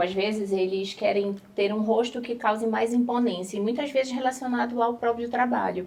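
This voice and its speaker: A woman with a Pará accent talks in a fairly high pitch. Her pace is moderate and her pitch varies an ordinary amount. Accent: northern Brazilian (Pará) accent, noticeable. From northern Brazil, Belém do Pará. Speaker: dermatologist. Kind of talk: talk show interview.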